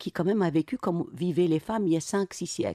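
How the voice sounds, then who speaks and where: A woman with a dark, mellow tone and a fairly low pitch speaks at a fairly quick pace. The sound is dry and close with no echo, over a quiet background. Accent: Arabic. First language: Arabic (speaking French). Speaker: novelist. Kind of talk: radio interview.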